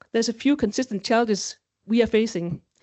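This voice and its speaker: A woman's voice sits at a fairly high pitch with ordinary pitch variation. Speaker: quality management lead. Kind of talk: conference presentation. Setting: stage with audience. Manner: fast.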